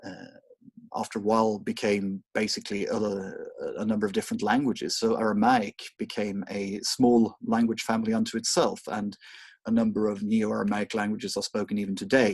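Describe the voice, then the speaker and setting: The speaker has a Swedish accent and a fairly quick pace. The intonation is monotone and flat. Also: man, fairly low pitch for a man. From Sweden. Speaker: university lecturer. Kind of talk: lecture. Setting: online recorded lecture. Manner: hesitant, many fillers.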